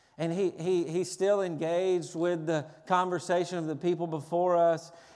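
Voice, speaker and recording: With a Tennessee accent, a man talks at a moderate pace in a high-pitched, monotone, flat voice, and audible room echo surrounds him. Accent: Southern US (Tennessee). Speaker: pastor. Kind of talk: sermon. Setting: church.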